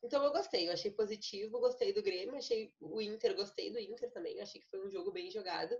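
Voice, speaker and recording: Her high-pitched voice swings very widely in pitch as this woman talks at a fairly quick pace. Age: 20s. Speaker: lawyer. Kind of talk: casual chat.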